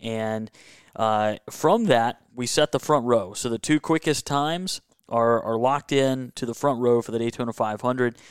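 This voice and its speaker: A man with a Southern US accent at medium pitch and a moderate pace, ordinary pitch variation, in a very clean recording with a silent background and a dry, close sound with no echo. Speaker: motorsports and hockey contributor. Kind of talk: casual chat. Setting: home man cave.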